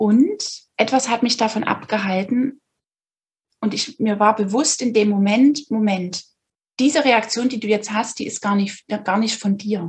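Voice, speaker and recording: Speaking at a fairly slow pace, a woman has a somewhat breathy, fairly high voice with ordinary pitch variation. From Saxony, Dresden. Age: 30s. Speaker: podcast guest sharing personal story. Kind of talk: personal testimony in interview. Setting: video recording.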